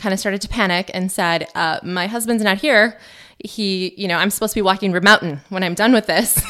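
On a very clean recording with a silent background, a woman with an Upper Midwest accent speaks at medium pitch in a bright, sharp tone. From central Wisconsin. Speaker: cancer survivor, math teacher. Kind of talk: interview testimony. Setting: studio.

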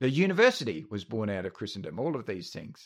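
The recording is very clean, with a silent background. In it, a man talks in an Australian accent. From Australia, North Queensland. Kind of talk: casual discussion. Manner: halting, many fillers and repeats.

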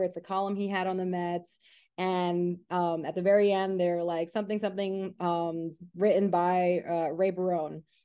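A woman with an American accent speaks at a moderate pace in a dark, mellow tone against a quiet background. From US Northeast, Queens, New York. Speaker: sports journalist. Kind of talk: podcast interview.

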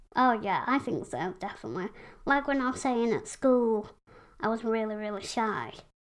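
A woman speaks with a Yorkshire accent. Her pitch is fairly high. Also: ordinary pitch variation, moderate pace. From West Yorkshire, England. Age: 20s. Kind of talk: casual interview chat.

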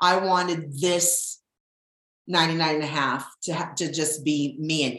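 This woman's voice is husky. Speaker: podcast host. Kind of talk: casual chat, solo monologue. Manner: animated, expressive.

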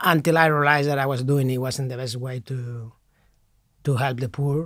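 A man with a Spanish accent talks at a moderate pace in a very clean recording with a silent background. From Spain, Madrid. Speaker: priest. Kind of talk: interview. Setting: studio.

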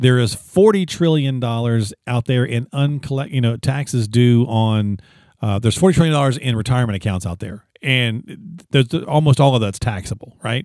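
A man speaks in a normal speaking voice at a medium pitch and a moderate pace, with ordinary pitch variation and hardly any pauses, in a very clean recording with a silent background. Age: 50s. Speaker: podcast co-host. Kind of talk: casual chat.

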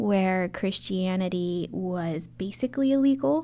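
Using a normal speaking voice, a woman with an American accent talks at a medium pitch with lively intonation. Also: very clean recording, silent background. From Baltimore County, Maryland, US. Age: 30s. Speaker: church missions director. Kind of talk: interview about faith journey.

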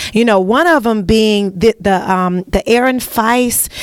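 Noticeable background noise surrounds a woman with an American accent who speaks at a moderate pace and a fairly high pitch in an animated tone with ordinary pitch variation. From US South. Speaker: broadcast host. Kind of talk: interview. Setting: on location at a sheriff's office.

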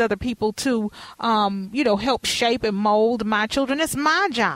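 In a dry, close sound with no echo, a woman with a normal speaking voice and an American accent talks at a fairly high pitch with ordinary pitch variation. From Texas. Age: 40s. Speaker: podcast host. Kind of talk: interview.

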